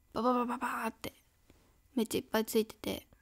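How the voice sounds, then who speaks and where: Soft-spoken, a woman talks in a dark, mellow tone. The background is quiet. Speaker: vlogger. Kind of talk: casual vlog chat. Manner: soft, sleepy bedtime murmur. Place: home room. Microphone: phone near.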